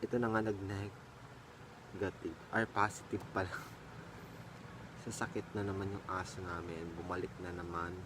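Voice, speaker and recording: This man's very deep, low pitch stays monotone and flat. He talks at a fairly slow pace. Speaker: vlogger. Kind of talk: casual vlog chat. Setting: at home.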